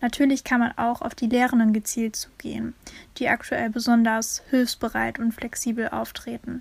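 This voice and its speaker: At a moderate pace, a woman speaks with fairly high pitch and monotone, flat intonation. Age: 20s. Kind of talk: interview.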